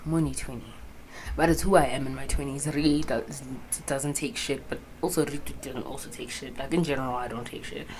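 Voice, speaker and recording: Amid noticeable background noise and audible room echo, a woman with a very deep, low pitch talks at a fairly quick pace with fairly even intonation and big swings in loudness. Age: 20s. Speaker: student podcaster. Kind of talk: casual vlog monologue. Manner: rambling, casual with swearing.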